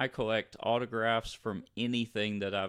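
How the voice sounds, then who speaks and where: The recording is very clean, with a silent background. A man with an American accent speaks at a fairly slow pace with monotone, flat intonation. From US South, North Louisiana. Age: 40s. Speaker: podcast host, police detective. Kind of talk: casual chat. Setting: home studio.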